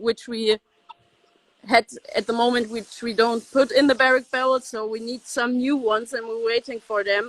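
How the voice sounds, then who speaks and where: A woman speaks with a German accent at a moderate pace. Her intonation is monotone and flat. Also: fairly high pitch for a woman, dry, close sound with no echo. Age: 20s. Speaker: winemaker's daughter. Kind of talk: interview. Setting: video call. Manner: halting.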